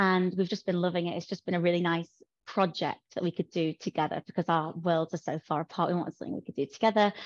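A woman with a Yorkshire accent at a fairly quick pace, fairly low in pitch and fairly even in intonation, with a dry, close sound, no echo and a quiet background. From Yorkshire, northern England. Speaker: fashion and bridal content creator. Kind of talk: casual interview chat.

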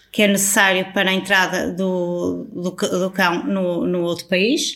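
Her voice is a normal speaking voice, pitched in the middle range. This woman talks rather slowly. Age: 40s. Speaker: travel influencer. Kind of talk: casual interview.

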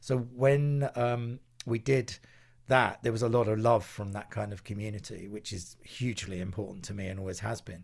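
With an Essex accent, a somewhat breathy voice moves at a moderate pace with ordinary pitch variation. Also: man, medium pitch for a man. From England, Essex. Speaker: music producer. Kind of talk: interview. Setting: video call.

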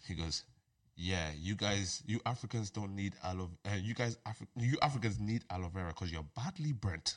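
A normal speaking voice from a man, fairly low-pitched, with lively intonation at a fairly quick pace. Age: 20s. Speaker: podcast host. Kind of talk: casual chat.

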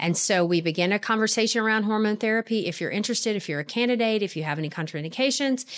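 At a very fast pace with hardly any pauses, a woman speaks at a fairly high pitch with ordinary pitch variation. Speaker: physician. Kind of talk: interview.

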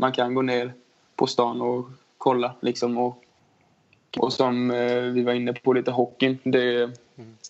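Flat, monotone intonation marks this man's speech. He goes at a fairly slow pace. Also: medium pitch for a man. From Småland, Sweden. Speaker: ice hockey player. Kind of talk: casual interview.

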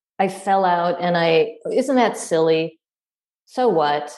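A woman's normal speaking voice, with lively intonation and a fairly slow pace. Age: 50s. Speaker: yoga teacher and scholar. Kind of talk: casual interview chat.

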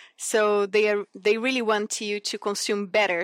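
In a Portuguese accent, a woman is heard on a very clean recording with a silent background and a dry, close sound with no echo. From Brazil, Cerrado region. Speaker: sustainability consultant and lecturer. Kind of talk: interview.

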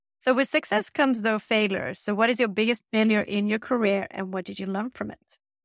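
Speaking fast with hardly any pauses, a woman uses a plain, everyday voice, fairly high in pitch, with fairly even intonation and big swings in loudness, in a dry, close sound with no echo. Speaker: podcast host. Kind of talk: interview.

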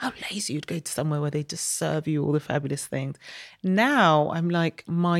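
Speaking with a London accent, a woman uses a very deep, low pitch at a moderate pace with ordinary pitch variation, in a dry, close sound with no echo. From Saint Kitts, then London from age seven. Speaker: media business executive. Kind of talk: casual interview.

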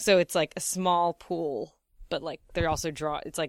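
An unremarkable speaking voice at a moderate pace with fairly even intonation, in a dry, close sound with no echo on a very clean recording with a silent background. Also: woman. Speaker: comedian and comedy writer. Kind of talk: casual chat.

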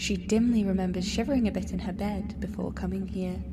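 There is noticeable background noise. Through it, a woman speaks. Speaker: dream narrator. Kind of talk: dreamlike scripted narration.

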